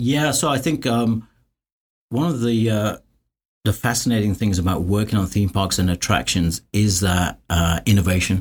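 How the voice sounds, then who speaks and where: A man with a London accent, somewhat breathy and very even in loudness, in a very clean recording with a silent background. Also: fairly low pitch for a man, ordinary pitch variation, moderate pace. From London, England. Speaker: construction cost consultant. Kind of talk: interview.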